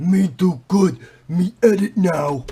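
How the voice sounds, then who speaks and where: This is a man speaking in a high pitch. He uses a put-on character voice. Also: moderate pace. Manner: groaning, broken speech.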